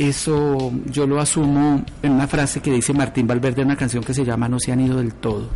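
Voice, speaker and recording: Speaking at a fairly quick pace with hardly any pauses, a man holds a medium pitch in a monotone, flat intonation at very even loudness. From Colombia, Ibagué (Tolima). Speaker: shelter caretaker and amateur radio broadcaster. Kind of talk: interview testimony.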